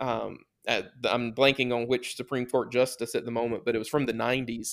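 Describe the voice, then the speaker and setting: A man with a Southern US accent. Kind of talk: podcast interview. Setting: remote call.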